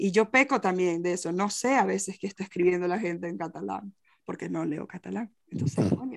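A woman talks with a fairly low pitch and ordinary pitch variation. Her pace is fairly quick, and vocal fry creeps into her voice. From Venezuela. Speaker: poet and translator. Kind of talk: interview. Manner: halting.

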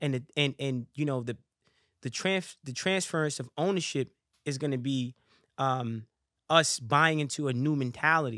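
A man speaks at a moderate pace with a fairly high pitch, a bright, sharp tone and ordinary pitch variation. His long, frequent pauses land in a dry, close sound with no echo. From US, New York (Harlem). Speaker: rapper, boxer and motivational speaker. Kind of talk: casual chat. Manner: animated.

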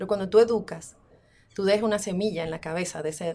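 Speaking with a Dominican accent, a woman talks at a very fast pace. Her tone is dark and mellow, with fairly even intonation. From Dominican Republic. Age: 40s. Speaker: muralist and art teacher. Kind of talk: interview.

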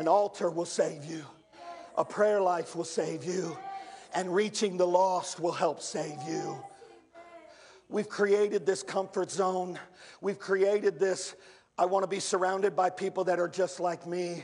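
Noticeable background noise surrounds a man with a high voice. He talks at a fairly slow pace, with long, frequent pauses. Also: fairly even intonation. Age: 50s. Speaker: pastor. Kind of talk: sermon.

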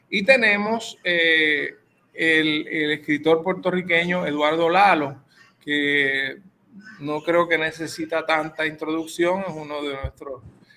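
A man speaks at a very slow pace with a fairly high pitch. His intonation stays fairly even. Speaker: radio host. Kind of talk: radio interview.

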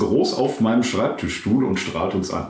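A man talks at a moderate pace, with both noticeable background noise and audible room echo in the recording. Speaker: pastor and podcast co-host. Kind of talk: casual chat. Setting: his own study.

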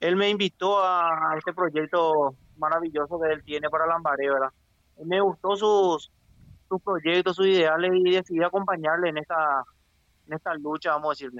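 High-pitched, a man speaks at a moderate pace. His intonation stays fairly even. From Paraguay. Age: 30s. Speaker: local political candidate. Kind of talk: interview. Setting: phone call.

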